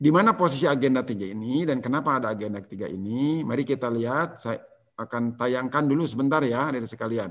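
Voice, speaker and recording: A man talks at a very fast pace with hardly any pauses. His pitch varies in an ordinary way. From West Java, Tasikmalaya; West Java. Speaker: civil service trainer. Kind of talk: online lecture. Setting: video call. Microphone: video call.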